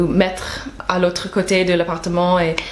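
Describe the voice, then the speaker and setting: A woman speaks with an American accent at a medium pitch. Noticeable background noise sits behind her voice. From United States. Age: 20s. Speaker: novelist. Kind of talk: interview answer.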